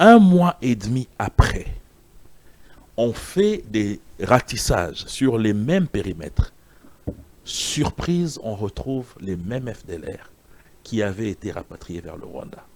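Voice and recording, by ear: A man speaks slowly at a fairly low pitch with a slightly mellow tone. His pitch makes big swings.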